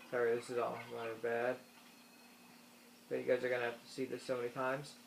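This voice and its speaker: A man speaks at a medium pitch. His intonation is monotone and flat. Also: fairly quick pace. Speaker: gaming YouTuber. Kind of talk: tutorial. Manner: halting, stuttering.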